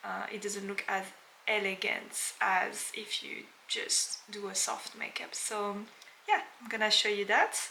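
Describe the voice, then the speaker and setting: A woman with a French accent speaks over noticeable background noise. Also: fairly slow pace. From France. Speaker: makeup artist. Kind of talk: tutorial. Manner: casual, with frequent fillers.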